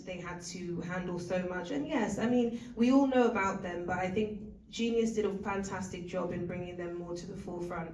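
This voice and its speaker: The woman has a British accent and a medium pitch with ordinary variation. There is audible room echo and noticeable background noise. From Britain. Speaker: actor. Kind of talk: panel Q&A.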